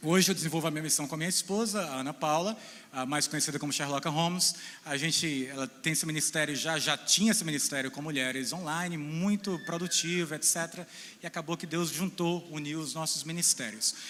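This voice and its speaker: Here a man speaks at a fairly quick pace. His fairly high pitch has ordinary variation. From Brazil, central Ceará (Boa Viagem). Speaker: missionary and theology lecturer. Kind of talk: talk to a church audience. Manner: informal, joking.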